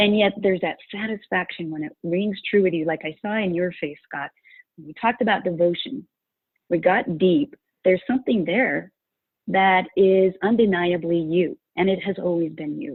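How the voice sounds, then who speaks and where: In an American accent, a woman with a plain, everyday voice speaks at a moderate pace, showing ordinary pitch variation and big swings in loudness. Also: medium pitch for a woman. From rural Utah. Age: 60s. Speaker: values coach and course creator. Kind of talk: interview.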